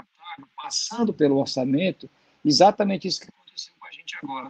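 A man speaks at a fairly quick pace. He has a normal speaking voice with ordinary pitch variation. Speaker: university professor and commentator; panelist. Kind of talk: panel discussion. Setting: video call live stream. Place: home room. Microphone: video call.

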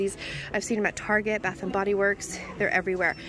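A woman speaks at a very fast pace in a dry sound with no echo. Clear music plays in the background. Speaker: shopping vlogger. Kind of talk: casual vlog chat. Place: shop. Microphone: phone near.

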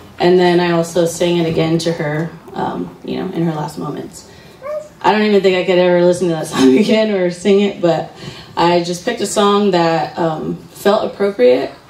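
Audible room echo follows a woman speaking in a fairly low pitch. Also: fairly even intonation, moderate pace. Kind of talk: eulogy speech. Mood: emotional, grieving. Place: hall. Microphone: handheld.

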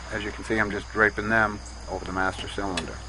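A man with a fairly low pitch talks at a fairly quick pace, the sound dry with no echo and noticeable background noise. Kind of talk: tutorial.

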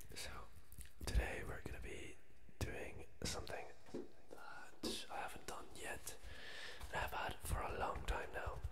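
Amid loud background noise, a man talks at a fairly slow pace with long, frequent pauses. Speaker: ASMR creator. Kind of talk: ASMR video talk to camera. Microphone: studio mic.

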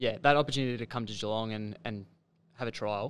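Fairly even intonation marks this man's speech. He has a fairly low pitch and an Australian accent. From Victoria, Australia. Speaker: podcast host. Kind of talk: podcast interview. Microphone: studio mic.

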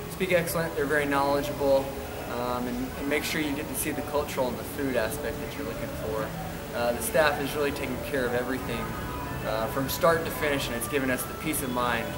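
A man speaks at a very fast pace. Loud music plays in the background. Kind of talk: testimonial interview answer. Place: home room. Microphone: camera far.

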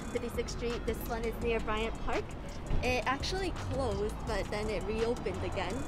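Moderate-paced speech, dry with no echo, over clear background music. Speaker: food vlogger. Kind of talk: casual vlog chat. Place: street. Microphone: phone near.

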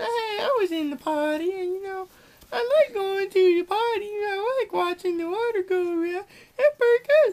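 Using a put-on character voice, a woman speaks. Her pitch is extremely high. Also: moderate pace. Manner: gangster voice.

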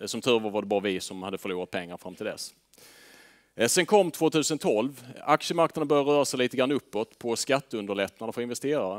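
Against a quiet background, a man talks at a fairly quick pace and medium pitch with lively intonation and big swings in loudness. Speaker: fund manager; presenter. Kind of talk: presentation to audience. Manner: hesitant fillers. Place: meeting room. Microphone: headset.

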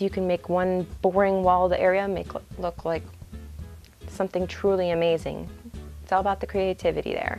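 A woman speaks at a moderate pace with long, frequent pauses while faint music plays in the background. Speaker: convention photographer and reviewer. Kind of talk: casual talk to camera. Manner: stuttering, halting. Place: home room. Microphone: lapel.

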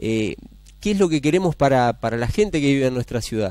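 Very wide pitch swings come through against a quiet background in a dry sound with no echo. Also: man. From Argentina, San Cristóbal, Santa Fe; Santa Fe, Argentina. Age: 40s. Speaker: mayoral candidate; candidate. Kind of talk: TV interview. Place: studio. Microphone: headset.

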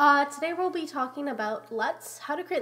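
Her pitch varies in an ordinary way as the woman speaks at a fairly quick pace. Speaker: Houdini VFX tutorial maker. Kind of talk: software tutorial narration.

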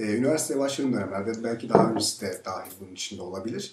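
Words pour out of this man at a very fast pace. The room's echo is clearly audible. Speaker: journalist. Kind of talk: interview host questions. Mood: relaxed, candid. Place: studio.

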